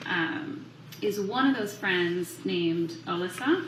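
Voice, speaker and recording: A woman talks at a very slow pace in a medium pitch with lively intonation. Audible room echo and noticeable background noise surround her voice. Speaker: prosecutor questioning a witness. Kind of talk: courtroom witness examination. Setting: courtroom.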